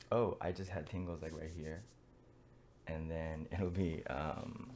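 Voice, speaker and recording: A soft-spoken man with a very deep, low pitch, an American accent, ordinary pitch variation and a very slow pace. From United States. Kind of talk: casual talk to camera. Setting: in bed, late at night. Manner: soft-spoken, quiet.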